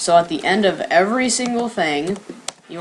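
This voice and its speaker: Noticeable background noise accompanies speech whose pitch varies in an ordinary way. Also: woman. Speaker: coding tutorial youtuber. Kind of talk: tutorial. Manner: casual, filler-heavy.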